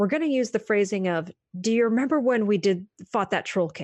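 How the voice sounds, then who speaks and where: A plain, everyday voice belongs to a woman with an American accent, speaking at a fairly quick pace with ordinary pitch variation. The background is quiet. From US Northeast, Maine. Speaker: psychologist. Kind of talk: interview.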